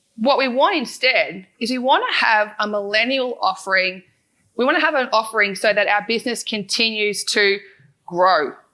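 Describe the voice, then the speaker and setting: A woman with an Australian accent, her fairly high pitch showing ordinary variation, her tone bright and sharp. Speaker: financial adviser and podcast founder. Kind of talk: conference talk. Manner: fast.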